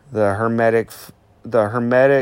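At a medium pitch, a man talks with fairly even intonation. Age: 40s. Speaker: solo podcaster. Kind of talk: reflective monologue.

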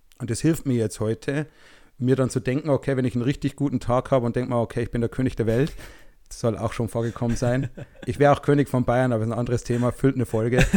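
A man speaks very fast at a medium pitch with a dark, mellow tone and fairly even intonation, on a very clean recording with a silent background. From small town in Germany. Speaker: podcast co-host. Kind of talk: casual chat.

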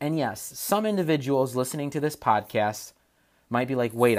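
A man at medium pitch and a moderate pace, with lively intonation, on a very clean recording with a silent background. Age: 20s. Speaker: podcast host, tech entrepreneur. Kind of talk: solo podcast monologue.

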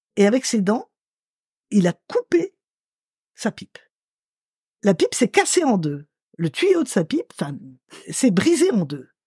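A woman with a fairly high pitch and a dark, mellow tone speaks at a very slow pace with vocal fry, very wide pitch swings and long, frequent pauses. Her loudness swings widely, and the sound is dry and close with no echo. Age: 60s. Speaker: writer and storyteller. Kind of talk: interview, personal memories.

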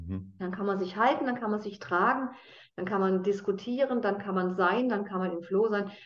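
With audible room echo around her, a woman speaks at a moderate pace and medium pitch, her intonation fairly even. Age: 50s. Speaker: consciousness trainer and addiction coach. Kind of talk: casual interview conversation.

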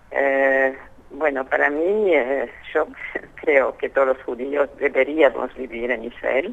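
The woman's pitch is very deep and low, and she speaks very slowly. Background noise is noticeable. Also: ordinary pitch variation. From France. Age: 80s+. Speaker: Holocaust survivor. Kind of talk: interview.

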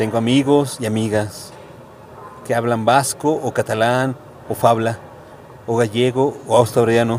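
A man's medium-pitched, monotone, flat delivery at a fairly slow pace, with long, frequent pauses and noticeable background noise. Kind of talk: poetry reading, spoken word poem. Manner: anaphoric, repeated refrain, rhetorical questions, measured delivery.

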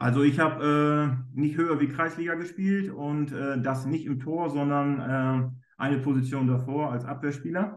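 With an ordinary speaking voice, a man at a fairly high pitch talks at a fairly slow pace, his intonation fairly even, with hardly any pauses. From northern Germany, East Frisia. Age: 30s. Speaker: goalkeeper coach. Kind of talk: interview.

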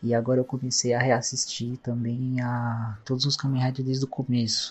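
A man speaks in a somewhat breathy voice. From Indaiatuba, São Paulo state, Brazil. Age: 20s. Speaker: listener. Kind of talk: recorded listener message.

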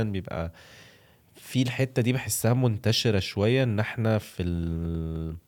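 With an Egyptian accent, a man speaks at a moderate pace in a fairly low voice with ordinary pitch variation, on a very clean recording with a silent background. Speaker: food content creator. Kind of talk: casual podcast interview.

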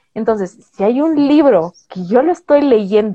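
A woman speaks at a high pitch with very wide swings in her intonation. Her pace is fairly slow. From Bolivia. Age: 20s. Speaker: booktuber. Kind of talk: interview.

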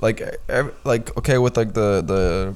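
A man speaks with an American accent and a fairly low pitch. Audible room echo surrounds his voice. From Boston, US. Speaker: podcast co-host. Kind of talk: casual chat. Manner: animated.

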